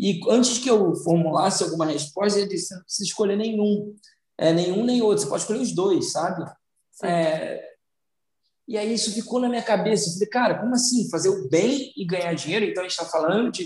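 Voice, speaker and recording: With a Carioca accent, a man talks at a high pitch. His pitch variation is ordinary. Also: fairly quick pace. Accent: carioca Brazilian Portuguese. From Brazil, São Gonçalo, Rio de Janeiro. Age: 30s. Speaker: social entrepreneur. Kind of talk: interview. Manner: halting, with repetitions.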